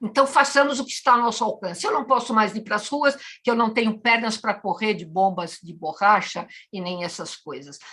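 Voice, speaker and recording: A woman with a fairly high pitch and a bright, sharp tone talks at a fairly quick pace in an animated tone. Her intonation is lively and her loudness swings widely. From Madeira, Portugal; raised in Brazil from childhood. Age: 70s. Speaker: writer and cultural activist, interviewee. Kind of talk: interview, impassioned political statement.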